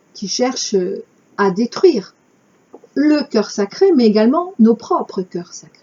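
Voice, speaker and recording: Very slow pace from a woman with a fairly high pitch, very wide pitch swings, and long, frequent pauses. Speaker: spiritual channel host. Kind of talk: reading aloud with commentary.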